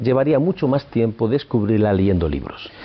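A man with lively intonation. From Spain, Palencia (Castile). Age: 60s. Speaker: psychoanalyst. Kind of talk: interview. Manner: hesitant, with fillers.

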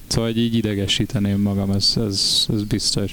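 A man speaks at a moderate pace amid noticeable background noise. Room echo is audible. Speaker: band member and podcast co-host. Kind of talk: casual chat.

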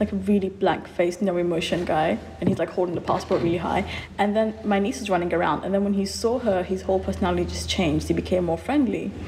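A woman rattles along at a very fast pace while noticeable background noise carries on. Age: 20s. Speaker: recent nursing graduate. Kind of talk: casual chat.

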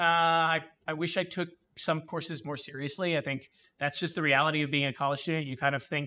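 With a New Jersey accent, a man speaks very fast in a bright, sharp, fairly high voice with fairly even intonation, in a very clean recording against a silent background. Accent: New Jersey American. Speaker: high school history teacher. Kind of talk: interview. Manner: halting, many fillers.

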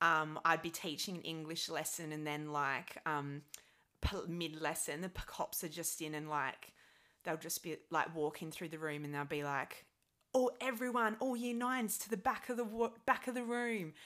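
Her tone bright and sharp, a woman talks at a moderate pace with a fairly low pitch and lively intonation. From Adelaide, Australia. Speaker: guest, teacher who moved to UK. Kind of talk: casual interview chat.

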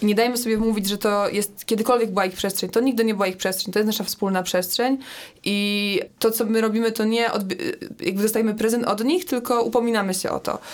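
A woman's fairly high voice at a very fast pace, fairly even in intonation, on a very clean recording with a silent background. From Poland, Poznań. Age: 20s. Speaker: climate activist. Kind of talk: casual chat.

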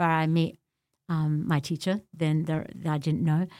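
With an Australian accent, a woman speaks in a dark, mellow tone at a fairly low pitch. The recording is very clean, the background silent. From Australia, Melbourne (born in Beirut, left at six). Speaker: community leader and religious teacher. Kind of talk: interview, personal life story.

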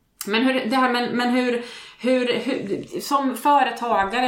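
At a moderate pace, a woman speaks amid noticeable background noise and audible room echo. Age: 40s. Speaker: podcast co-host. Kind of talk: casual chat.

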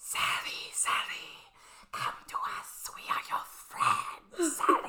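This is a put-on character voice, raspy and extremely high in pitch. It moves at a very slow pace. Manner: eerie, coaxing.

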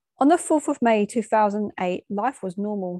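In an English accent, a woman speaks at a moderate pace and medium pitch, with a dry, close sound with no echo and a quiet background. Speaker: bereaved daughter. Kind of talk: personal reflection.

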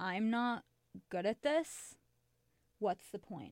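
An upbeat-toned woman's voice at a medium pitch, with an American accent. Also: dry, close sound with no echo, very clean recording, silent background. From Chicago. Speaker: student guest. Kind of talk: casual chat. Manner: laughs often, upbeat.

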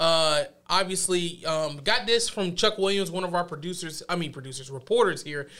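A man's bright, sharp voice, animated and playful, at a moderate pace on a very clean recording with a silent background. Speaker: sports anchor. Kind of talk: radio DJ patter, upbeat sports banter. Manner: animated, punchy, playful.

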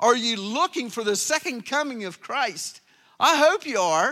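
Speaking fairly slowly in a raised, projected voice, a man uses lively intonation and a bright, sharp tone. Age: 60s. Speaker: pastor. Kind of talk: sermon. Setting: church. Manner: animated.

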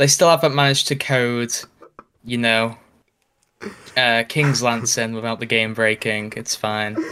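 A man with a British accent speaks in a deadpan, bright and sharp tone at a fairly slow pace, with long, frequent pauses. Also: medium pitch for a man, fairly even intonation. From Britain. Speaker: YouTuber. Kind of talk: casual chat.

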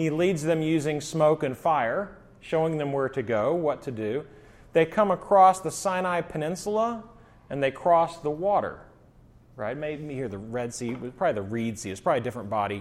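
Speaking at a moderate pace, a man with a fairly high pitch uses lively intonation in a plain, everyday voice. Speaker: pastor. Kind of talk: Bible teaching. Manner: casual, joking.

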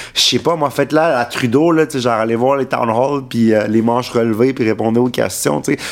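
A man talks at a medium pitch and a fairly quick pace, with hardly any pauses and ordinary pitch variation. His loudness stays very even over noticeable background noise. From Quebec, Montreal. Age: 20s. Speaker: political staffer. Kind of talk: casual chat.

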